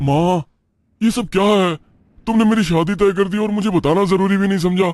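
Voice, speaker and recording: A man uses a high, cartoonish character voice, talking at a fairly quick pace with fairly even intonation. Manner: impatient, irritable.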